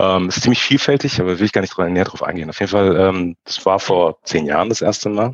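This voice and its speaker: Very deep and low, a man's voice carries ordinary pitch variation. He talks at a fairly quick pace with hardly any pauses. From Frankfurt, Germany. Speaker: photographer. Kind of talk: casual interview. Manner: halting, many fillers.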